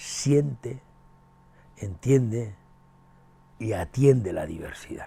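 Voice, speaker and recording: A man's dark, mellow, somewhat breathy voice at medium pitch, with ordinary pitch variation and a very slow pace. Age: 70s. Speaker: education professor and author. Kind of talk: interview. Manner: halting, with many fillers and repetitions.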